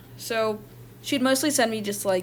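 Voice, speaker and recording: The woman's voice is shaky, with ordinary pitch variation. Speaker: online content creator and artist. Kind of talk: personal testimony. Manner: halting.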